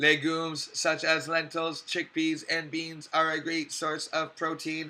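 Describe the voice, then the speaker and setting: Using a robotic, put-on character voice, a man speaks fairly slowly at a fairly high pitch in a monotone, flat intonation. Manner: mechanical, monotone.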